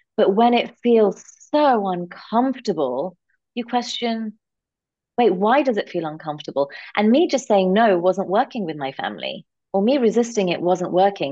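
A woman in a London accent, medium pitch with a dark, mellow tone, lively intonation and a moderate pace. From London, England. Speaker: executive coach and entrepreneur. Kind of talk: interview.

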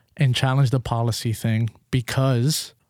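A man with a plain, everyday voice, a medium pitch, fairly even intonation and a moderate pace. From New York. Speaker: co-host. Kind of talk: casual chat.

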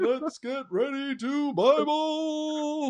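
Doing a put-on character voice, a man speaks at an extremely high pitch. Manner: dramatic, hyped.

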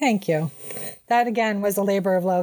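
A woman with a normal speaking voice talks at medium pitch with ordinary pitch variation. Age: 50s. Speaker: graphic designer. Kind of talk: casual chat.

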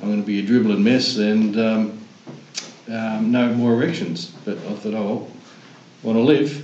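A man with an Australian accent at a medium pitch, moderate pace and ordinary pitch variation, with long, frequent pauses, noticeable background noise and audible room echo. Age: 60s. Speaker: prostate cancer survivor. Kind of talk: casual chat.

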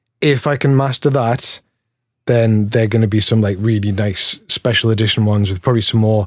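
With a Geordie accent, a man speaks at a fairly quick pace in a medium pitch and fairly even intonation. His loudness is very even, and the recording is very clean with a silent background. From Newcastle, northeast England. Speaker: pedal maker. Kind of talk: casual interview chat.

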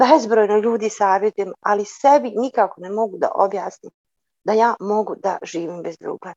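A woman with a fairly high pitch and a dark, mellow tone speaks at a moderate pace. Her pitch varies in an ordinary way, and the sound is dry and close with no echo. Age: 40s. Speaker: caller. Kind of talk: participant question on video call. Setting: video call.

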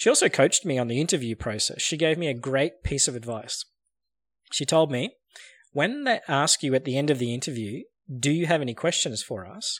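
A man with an ordinary speaking voice, fairly high-pitched and fairly quick, with lively intonation, on a very clean recording with a silent background and a dry, close sound with no echo. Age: 40s. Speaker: sales podcast host. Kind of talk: scripted narration.

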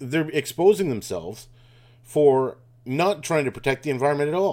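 Lively in intonation and fairly quick, a man with a plain, everyday voice is heard in a very clean recording over a silent background. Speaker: podcast host. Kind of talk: angry conspiracy rant, fast-paced tirade accusing government of lies and arson. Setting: informal solo recording while travelling. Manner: sure of itself, sarcastic, scornful tone toward Trudeau and globalists.

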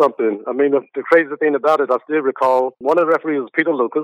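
With a plain, everyday voice, a man speaks at a fairly high pitch with fairly even intonation. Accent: American. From US South, Greensboro, North Carolina. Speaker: basketball coach. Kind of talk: interview.

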